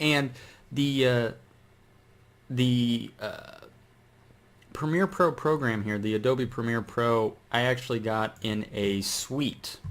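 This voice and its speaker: On a very clean recording with a silent background, a man of medium pitch and ordinary pitch variation speaks at a very slow pace with long, frequent pauses. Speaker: YouTuber. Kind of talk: tutorial. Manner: slow with long pauses; casual, hesitant with many fillers.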